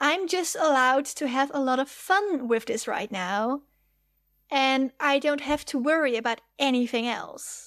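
At a fairly slow pace, a woman with a Dutch accent speaks in a high pitch with ordinary pitch variation, on a very clean recording with a silent background. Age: 20s. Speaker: fanfiction writer. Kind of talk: casual interview chat.

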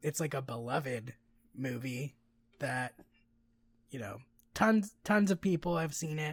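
A man with a fairly high pitch and a somewhat breathy voice talks at a fairly slow pace with lively intonation. He leaves long, frequent pauses, and the recording is very clean with a silent background. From Mexican heritage. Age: 30s. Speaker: podcast co-host. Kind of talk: casual chat.

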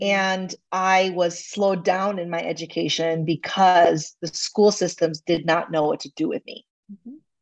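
Her pitch medium and her intonation fairly even, a woman talks at a moderate pace with hardly any pauses, though her loudness swings a lot. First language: not English as a child. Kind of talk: teaching conversation. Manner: casual, hesitant with fillers.

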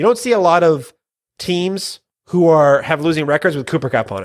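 In an ordinary speaking voice, a man moves at a fairly quick pace, his pitch varying in an ordinary way. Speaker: fantasy football podcast co-host. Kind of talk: casual banter, fantasy football talk. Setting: recording late at night. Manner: excitable, jokey.

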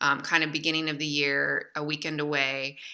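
At a moderate pace, a woman talks with a very deep, low pitch and a bright, sharp tone. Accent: Midwestern American. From Michigan, US. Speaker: literary and speaking agent. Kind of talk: casual chat.

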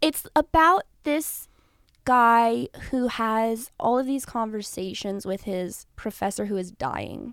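In a very clean recording with a silent background, a woman with a Californian accent speaks very slowly at a fairly high pitch with lively intonation. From Los Angeles, San Fernando Valley. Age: 20s. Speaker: actress. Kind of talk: casual chat.

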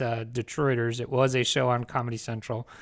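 A man with an American accent has an unremarkable speaking voice at medium pitch, moving at a fairly quick pace. The recording is very clean, with a silent background. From New Jersey. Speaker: podcast co-host. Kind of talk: casual chat. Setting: hotel room.

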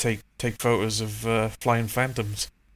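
A man with a Welsh accent, monotone, flat intonation and a fairly slow pace. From Wales, South Wales. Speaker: aviation photographer. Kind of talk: casual interview chat.

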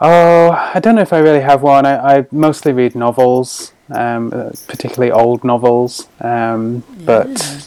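A man is talking with a northern English accent. His pace is moderate. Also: fairly high pitch for a man, ordinary pitch variation. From northeast England. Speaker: chocolate shop founder. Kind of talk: casual interview.

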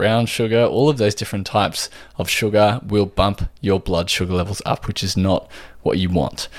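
A man talks in an Australian accent. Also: very clean recording, silent background. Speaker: podcast host and nutritional therapist. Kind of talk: solo podcast talk.

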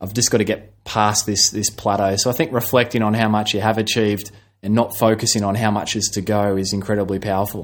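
With an Australian accent, a man talks very fast in a fairly low, flat monotone with hardly any pauses on a very clean recording with a silent background. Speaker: physiotherapist. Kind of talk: interview.

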